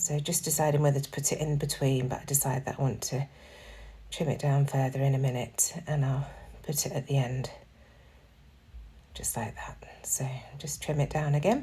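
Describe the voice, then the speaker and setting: A woman's very deep, low voice, somewhat breathy, with fairly even intonation and long, frequent pauses. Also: moderate pace. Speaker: scrapbooking crafter. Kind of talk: tutorial. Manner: casual.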